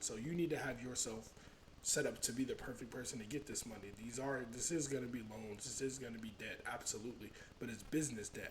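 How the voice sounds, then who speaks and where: A man's medium-pitched, somewhat breathy voice at a fairly quick pace, with ordinary pitch variation and audible room echo. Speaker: finance YouTuber. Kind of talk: tutorial. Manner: fast.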